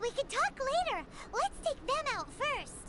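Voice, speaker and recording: In a put-on character voice, the speaker goes extremely high in pitch and sounds squeaky. The pace is fairly slow. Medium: video game. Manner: fussy, chiding.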